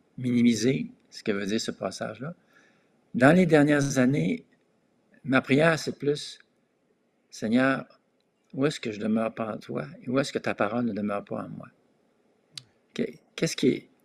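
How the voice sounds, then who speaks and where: Big swings in loudness mark this man's speech, which has a medium pitch, lively intonation, a fairly slow pace and long, frequent pauses. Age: 60s. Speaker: pastor. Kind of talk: discussion on prayer.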